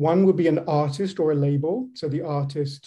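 Speaking at a fairly slow pace over a quiet background, a man has a dark, mellow tone that is somewhat breathy. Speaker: humanities professor. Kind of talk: presentation in meeting. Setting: video call. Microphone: video call.

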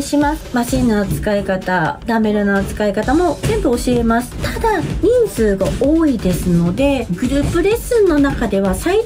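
A woman at a fairly slow pace over clear background music. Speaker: weight training instructor. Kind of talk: casual promotional vlog talk. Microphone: phone near.

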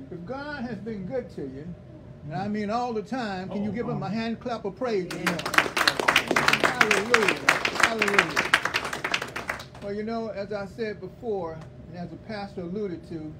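Crowd noise fills the background as a man talks at a fairly slow pace. His voice sits high in pitch. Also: ordinary pitch variation. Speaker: guest. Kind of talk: sermon. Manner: playful, warm. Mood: warm, grateful. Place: church. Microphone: camera far.

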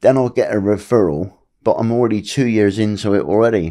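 The voice has a dark, mellow tone and ordinary pitch variation against a quiet background. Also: man. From England. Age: 50s. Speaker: abuse survivor; podcast guest. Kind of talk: testimony; interview answer. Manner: halting. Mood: earnest, personal, somber. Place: home room. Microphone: studio mic.

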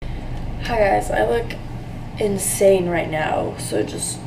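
A woman against noticeable background noise. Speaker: student vlogger. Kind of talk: casual vlog chat. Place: bathroom. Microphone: phone near.

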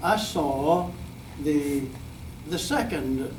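A man speaks with audible room echo. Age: 90s. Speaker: community member addressing school board. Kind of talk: public comment at meeting. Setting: school board meeting podium. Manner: halting.

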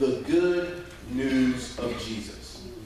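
A man's fairly high voice with very wide pitch swings, strong room echo and light background noise. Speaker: preacher. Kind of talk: sermon delivered to a live congregation. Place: church. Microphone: camera far.

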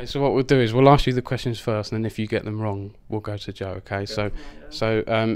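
A man with an Essex accent, fairly even intonation and a moderate pace, on a very clean recording with a silent background. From Essex, England. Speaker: esports interviewer. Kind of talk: casual, chatty.

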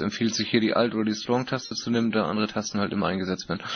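A man talks with fairly even intonation against noticeable background noise. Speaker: meeting moderator. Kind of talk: moderated group discussion. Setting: online voice chat conference.

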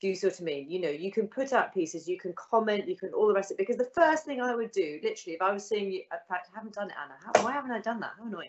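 A woman speaks at a very fast pace with lively intonation. She barely pauses. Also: medium pitch for a woman.

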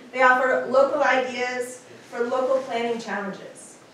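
Over noticeable background noise and audible room echo, a woman speaks in a high pitch. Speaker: presenter. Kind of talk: prepared talk. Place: hall.

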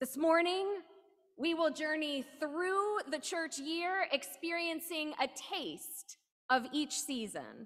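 A woman with a high pitch talks at a very slow pace. Her pitch varies in an ordinary way, and the background is quiet. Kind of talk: liturgical call to worship and welcome. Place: church. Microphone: podium.

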